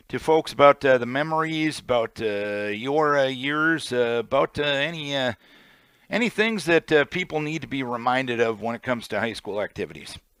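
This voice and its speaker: This man has an ordinary speaking voice, talking at a moderate pace with medium pitch and ordinary pitch variation. The recording is very clean, with a silent background and a dry, close sound with no echo. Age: 40s. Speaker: radio host. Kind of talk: radio interview.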